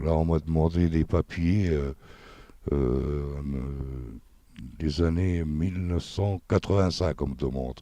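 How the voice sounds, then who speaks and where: Very deep and low in pitch, a man speaks at a fairly slow pace with a dark, mellow tone, ordinary pitch variation, and a dry, close sound with no echo. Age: 60s. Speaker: minibus driver. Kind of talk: interview. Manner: hesitant.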